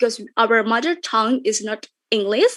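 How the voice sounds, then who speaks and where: A woman's high pitch and lively intonation at a moderate pace against a quiet background. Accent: Indonesian. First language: Indonesian. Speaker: content creator. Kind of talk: webinar talk. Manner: halting.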